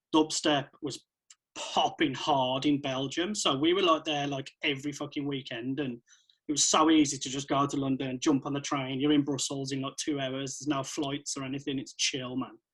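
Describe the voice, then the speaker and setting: Recorded very cleanly against a silent background, a man with an English Midlands accent speaks at a moderate pace in a fairly high pitch with monotone, flat intonation. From central England. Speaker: electronic music producer and DJ. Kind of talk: casual chat.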